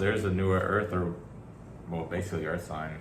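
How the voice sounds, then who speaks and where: A man talks at a very fast pace. There is audible room echo and noticeable background noise. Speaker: tarot reader. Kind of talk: tarot reading, casual monologue. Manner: animated.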